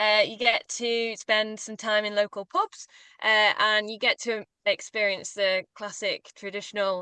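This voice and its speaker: A woman's fairly high, bright, sharp voice with a northern English accent, monotone and flat, fairly slow, with big swings in loudness and a dry, close sound with no echo over a quiet background. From northern England. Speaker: walking tour guide. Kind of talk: webinar presentation.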